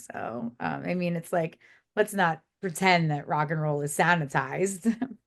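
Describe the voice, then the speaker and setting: A woman talks at a moderate pace in a New Jersey accent. Her fairly low pitch shows ordinary variation. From South Jersey, near Philadelphia. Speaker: music publicist. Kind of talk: podcast interview.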